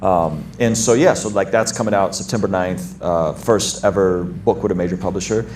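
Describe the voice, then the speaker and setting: A man speaks at a moderate pace in a fairly low pitch with fairly even intonation. He leaves hardly any pauses, and there is noticeable background noise. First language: not English. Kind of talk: casual panel chat.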